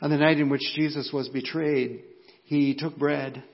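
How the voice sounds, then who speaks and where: A man with an American accent, fairly high in pitch, at a fairly slow pace, with audible room echo. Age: 50s. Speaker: pastor. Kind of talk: sermon. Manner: halting.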